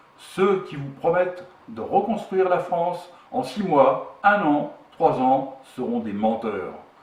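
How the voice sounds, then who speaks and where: Loudness swings widely and pitch swings very widely at a very slow pace, with audible room echo and noticeable background noise. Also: man, high pitch for a man. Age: 60s. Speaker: political movement co-founder. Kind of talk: political statement; self-introduction. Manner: formal.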